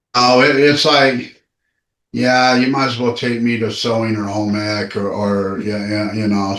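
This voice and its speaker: Speech comes at a fairly slow pace with fairly even intonation, and the room echo is audible. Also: man. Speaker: recovery speaker. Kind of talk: casual chat. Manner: loud.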